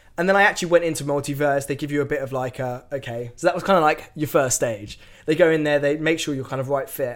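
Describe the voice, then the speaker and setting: Speaking at a very fast pace with an English accent, a man uses a fairly high pitch and ordinary pitch variation on a very clean recording with a silent background. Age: 20s. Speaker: tech company employee and agency owner. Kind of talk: casual interview.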